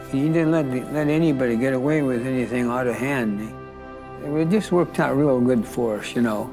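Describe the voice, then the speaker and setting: Music plays in the background as a man with an American accent talks at a fairly slow pace, his medium pitch showing ordinary variation. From United States. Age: old. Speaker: martial arts teacher. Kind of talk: interview answer.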